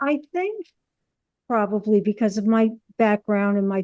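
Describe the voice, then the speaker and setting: A woman speaks with a New York accent at a medium pitch. Her tone is dark and mellow, and her pace fairly slow. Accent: New York accent, stronger now. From US Northeast, New York City. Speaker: actress and comedian. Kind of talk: casual interview.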